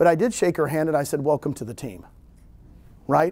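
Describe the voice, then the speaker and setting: A man with a fairly high pitch. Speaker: real estate broker and recruiter. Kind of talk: seminar talk. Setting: room with live audience, no microphone. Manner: loud; animated.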